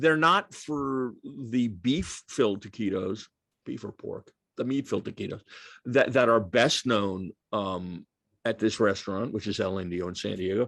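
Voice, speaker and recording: In a normal speaking voice, a man with an American accent talks at a fairly slow pace and medium pitch. His pitch variation is ordinary, and the background is quiet. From New York. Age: 60s. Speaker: author. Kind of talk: Q&A at a book talk.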